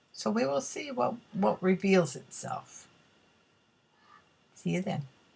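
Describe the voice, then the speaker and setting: In a relaxed tone, a woman speaks very slowly at a medium pitch with very wide pitch swings. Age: 70s. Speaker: art hobbyist video blogger. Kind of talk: casual art tutorial vlog. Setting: at home art table. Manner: relaxed, halting with fillers.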